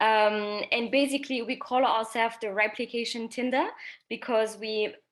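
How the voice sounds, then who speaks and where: A French accent, a moderate pace, and ordinary pitch variation. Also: woman. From France. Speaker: social entrepreneur. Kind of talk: panel discussion.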